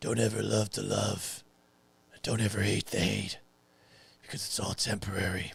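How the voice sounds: A put-on character voice, gravelly, growling and raspy, at a moderate pace with long, frequent pauses. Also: man, fairly low pitch for a man.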